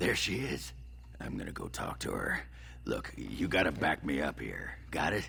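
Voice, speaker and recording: Someone uses a put-on character voice at a moderate pace, with noticeable background noise. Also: man. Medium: video game. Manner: gruff, crude, leering.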